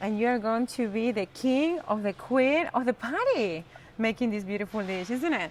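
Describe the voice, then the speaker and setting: In a strong Argentine accent, a woman speaks with an animated tone, lively intonation and a fairly high pitch. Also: moderate pace. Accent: strong Argentinian Spanish. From Argentina. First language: Spanish. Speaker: cooking teacher. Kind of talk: live cooking demonstration. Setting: live-streamed kitchen.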